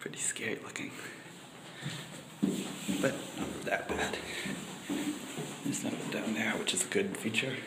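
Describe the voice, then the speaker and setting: Long, frequent pauses break up the speech over loud background noise. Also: moderate pace. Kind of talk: casual vlog chat. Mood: slightly nervous, joking. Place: garage. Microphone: phone near.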